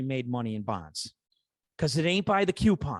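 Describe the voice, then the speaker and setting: In a dry, close sound with no echo and a quiet background, a man with a Chicago accent talks at a fairly high pitch with lively intonation. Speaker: podcast guest, finance expert.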